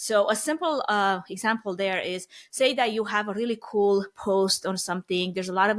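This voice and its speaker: A woman in a Romanian accent talks at a fairly quick pace in a fairly high pitch. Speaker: event planning expert. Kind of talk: podcast interview.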